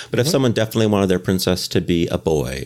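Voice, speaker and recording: Speaking with a Canadian accent, a man uses a fairly low pitch and lively intonation. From Canada. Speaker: game designer. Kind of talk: casual interview. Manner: hesitant with fillers.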